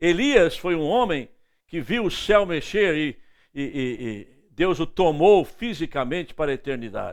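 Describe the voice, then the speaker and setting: A man speaks at a fairly slow pace in a high voice, with very wide pitch swings. The recording is very clean, with a silent background. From northeastern Brazil, Recife. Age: 70s. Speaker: evangelist preacher. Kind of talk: sermon.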